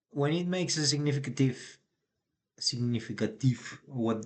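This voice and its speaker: A man with a non-native accent at a moderate pace. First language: not English. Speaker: day trader. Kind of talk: live trading commentary.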